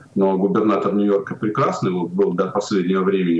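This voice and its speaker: A man talks very fast at a very deep, low pitch. His intonation stays fairly even over noticeable background noise. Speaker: journalist. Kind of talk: political talk show discussion.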